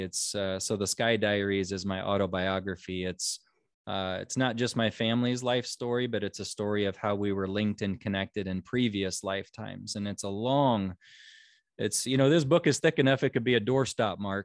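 A man talks at a moderate pace with a US Midwestern accent. His pitch is fairly low, with ordinary pitch variation. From Nebraska, US Midwest (Omaha). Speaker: psychic medium and author. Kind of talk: interview. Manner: halting, many fillers and repeats.

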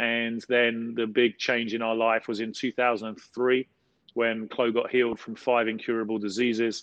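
A man with a South London accent speaks at medium pitch. His delivery is fairly slow, with monotone, flat intonation. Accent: South London, casual dialect. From South London, England. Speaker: pastor. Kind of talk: interview conversation, teaching.

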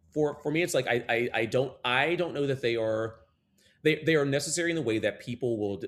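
Very rapid delivery with lively intonation. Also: man. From US South, North Carolina (Gastonia). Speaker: Broadway performer. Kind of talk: interview. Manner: halting, many restarts.

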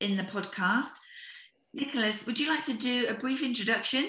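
This is a woman speaking with a British accent. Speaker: podcast host, business founder. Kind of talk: interview.

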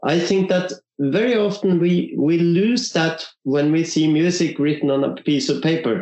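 A man with a non-native accent and a high pitch speaks at a fairly slow pace, keeping his loudness very even and his pitch variation ordinary. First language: not English. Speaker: violinist and orchestra concertmaster. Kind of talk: interview. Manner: halting.

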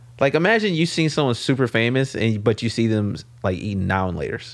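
A man with an American accent at a fairly quick pace and with lively intonation, in a very clean recording over a silent background. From US West Coast, South Central Los Angeles. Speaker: stand-up comedian. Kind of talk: casual chat. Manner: laid-back.

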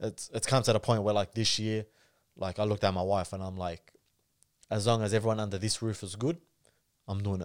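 Pausing long and often yet speaking at a fairly quick pace, a man with a fairly low pitch keeps his intonation fairly even in a very clean recording with a silent background. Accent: Australian. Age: 30s. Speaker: comedian and content creator. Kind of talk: casual chat.

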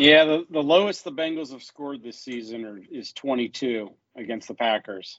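A man speaks in a normal speaking voice at medium pitch, with lively intonation. The pace is moderate. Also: big swings in loudness. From Ohio (Cleveland, then Athens). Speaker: sports fan podcast guest. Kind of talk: casual chat. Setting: hotel room.

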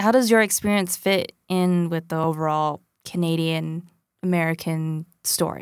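Speaking slowly-ish at a fairly slow pace, a woman has a fairly low pitch, fairly even intonation and a plain, everyday voice. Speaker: podcast host. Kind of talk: scripted narration and interview.

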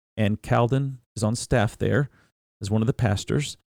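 A man with an American accent speaks fairly slowly in a normal speaking voice, with ordinary pitch variation. The recording is very clean with a silent background and a dry, close sound with no echo. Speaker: pastor and podcast host. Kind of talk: interview. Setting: studio.

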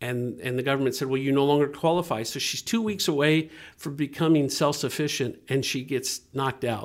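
A man with an ordinary speaking voice talks at a fairly quick pace and a fairly high pitch, with ordinary pitch variation and hardly any pauses. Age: 50s. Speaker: nonprofit ministry director. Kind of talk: interview.

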